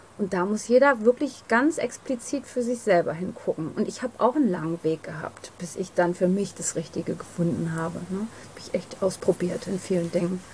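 Against noticeable background noise, a woman talks at a moderate pace and a medium pitch, her intonation lively and hardly any pauses breaking it up. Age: 40s. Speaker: psychotherapy practitioner and hypnotherapist. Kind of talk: interview.

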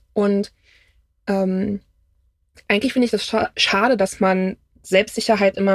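Here a woman is speaking. Her pitch is medium. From Brandenburg, Germany (village near Berlin). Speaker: friend of the host. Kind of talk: casual interview chat. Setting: in a camper van.

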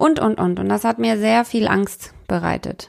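A woman speaks very slowly in a very clean recording with a silent background. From Bavaria, Munich. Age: 30s. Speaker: spiritual coach and podcast host. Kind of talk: personal monologue.

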